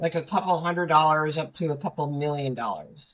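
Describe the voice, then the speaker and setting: A woman speaks with a bright, sharp tone at a fairly low pitch, keeping her intonation fairly even. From New England. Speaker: government contracting advisor. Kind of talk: interview. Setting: livestream.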